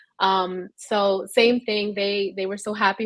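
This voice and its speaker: A woman of medium pitch talks in a monotone, flat way with a Spanish accent. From New York City. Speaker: panelist. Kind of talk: panel discussion.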